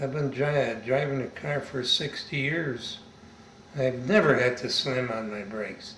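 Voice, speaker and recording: A man speaks at a medium pitch with an American accent, at a fairly slow pace. The room has audible echo, and background noise is noticeable. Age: 80s+. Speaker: war veteran. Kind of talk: oral history interview. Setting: interviewee's home.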